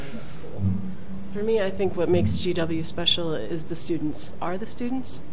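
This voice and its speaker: A woman speaks at a moderate pace, with noticeable background noise behind her. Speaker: school dean, former cyclist. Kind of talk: casual interview answers. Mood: warm, upbeat. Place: office. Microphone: studio mic.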